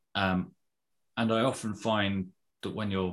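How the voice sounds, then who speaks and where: The voice belongs to a man. It sits very deep and low. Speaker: podcast host. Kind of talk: casual interview chat.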